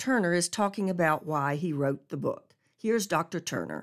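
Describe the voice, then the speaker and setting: Over a silent background on a very clean recording, a woman with a plain, everyday voice speaks at a moderate pace, her fairly low pitch carrying lively intonation. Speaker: radio host. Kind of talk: radio program intro and outro. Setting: radio studio.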